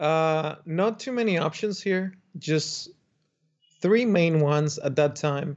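Speaking with a Spanish accent, a man uses a fairly high pitch. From Dominican Republic. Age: young. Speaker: architect. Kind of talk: podcast interview.

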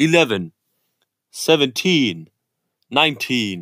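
Using a put-on, robotic character voice, a man speaks at a medium pitch. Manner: announcing scores.

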